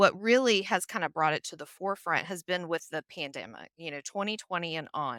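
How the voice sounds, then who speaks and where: Bright and sharp in tone, a voice with a Southern US accent moves at a fairly quick pace with hardly any pauses, lively intonation and big swings in loudness. The sound is dry and close with no echo, on a very clean recording with a silent background. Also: woman, fairly low pitch for a woman. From US South, Nashville, Tennessee. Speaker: HR consultant. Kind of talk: podcast interview.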